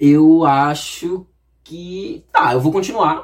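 A man with a somewhat breathy voice. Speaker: YouTuber. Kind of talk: reading aloud with casual commentary. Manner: animated.

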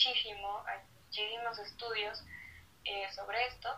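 A woman at fairly high pitch and moderate pace, with noticeable background noise. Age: 20s. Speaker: lawyer and activist. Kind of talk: live-streamed casual interview.

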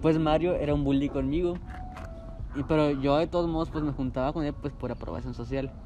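A man with a Mexican accent talks at a fairly quick pace in a fairly high pitch and a monotone, flat intonation. Noticeable background noise runs underneath. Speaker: podcast host. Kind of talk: casual chat.

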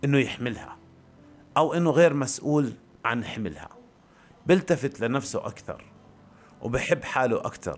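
A man at a fairly slow pace, ordinary pitch variation, long and frequent pauses. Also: fairly high pitch for a man. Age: 40s. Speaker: podcaster. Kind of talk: improvised personal monologue. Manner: halting, many pauses.

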